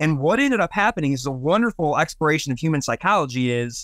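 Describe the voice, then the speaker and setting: A man with an American accent talks at a fairly quick pace in a plain, everyday voice, the recording very clean with a silent background and a dry, close sound with no echo. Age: 40s. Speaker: comic book store owner. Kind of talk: casual chat.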